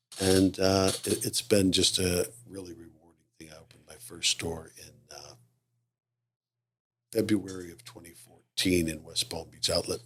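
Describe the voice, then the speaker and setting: In a very deep, low voice, a man speaks at a fairly slow pace. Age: 60s. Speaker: retired mall leasing executive. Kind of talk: casual interview chat.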